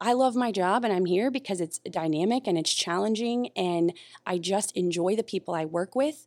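A woman with an American accent talks at a moderate pace and medium pitch with lively intonation, in a plain, everyday voice. The sound is dry and close, with no echo. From North Carolina. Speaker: navy facilities deputy. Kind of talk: podcast interview.

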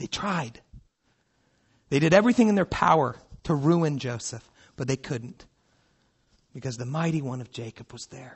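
The voice is somewhat breathy and moves at a moderate pace, with lively intonation, big swings in loudness, and long, frequent pauses. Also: man. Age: 30s. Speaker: pastor. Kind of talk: sermon. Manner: animated.

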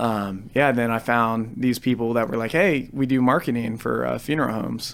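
In an American accent, a man with an unremarkable speaking voice talks at a moderate pace and medium pitch with fairly even intonation. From Ohio, Cambridge. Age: 20s. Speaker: musician. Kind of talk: casual chat. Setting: studio.

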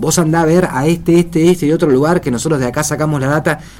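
Very fast speech from a man with a fairly high pitch and ordinary pitch variation, against noticeable background noise. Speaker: radio host. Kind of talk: casual chat.

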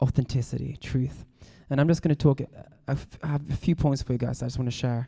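A man's somewhat breathy voice, dark and mellow in tone, with monotone, flat intonation at a very fast pace. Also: medium pitch for a man. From Sweden. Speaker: worship leader and songwriter. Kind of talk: talk to students. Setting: live in front of a room of students.

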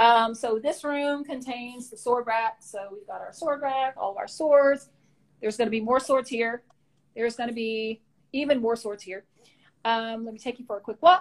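A woman with a Southern US accent, high pitch, ordinary pitch variation, moderate pace and big swings in loudness. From rural Louisiana, US South. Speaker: martial arts equipment business owner. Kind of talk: casual interview.

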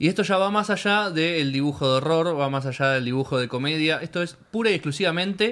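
A man with a Rioplatense accent talks at a fairly quick pace with hardly any pauses. His pitch is fairly high, with ordinary variation. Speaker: podcast host. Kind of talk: casual interview.

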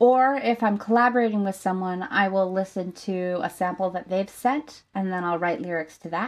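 Over a quiet background, an ordinary speaking voice keeps a moderate pace with ordinary pitch variation. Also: woman. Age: 20s. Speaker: singer-songwriter. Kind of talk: interview conversation.

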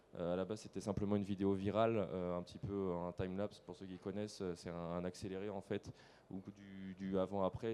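A man talks in a flat monotone with a dark, mellow tone. His pitch sits fairly low and his pace is fairly quick. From western France, Nantes area. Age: 20s. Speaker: landscaper and online video creator. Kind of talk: on-stage interview. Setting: stage with audience.

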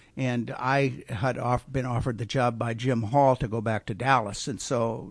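Against a quiet background, a man with a Southern California accent speaks with fairly even intonation. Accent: American (Southern California). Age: 70s. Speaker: racing engineer. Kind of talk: interview. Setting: studio.

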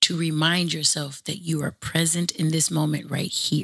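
A woman speaks in an American accent. Her pitch is fairly low. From Los Angeles, California. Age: 40s. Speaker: podcast host and teacher. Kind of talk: podcast conversation with guided grounding. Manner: animated, playful, silly.

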